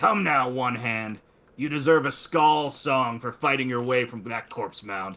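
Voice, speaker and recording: A man puts on a character voice at medium pitch. It comes out raspy and gruff. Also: moderate pace. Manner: taunting, challenging.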